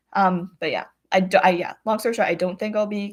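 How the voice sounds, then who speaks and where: In a very clean recording with a silent background, a woman with a Canadian accent speaks at a medium pitch with fairly even intonation. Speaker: retired rhythmic gymnast. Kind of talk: livestream Q&A chat. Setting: livestream on computer. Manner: fast.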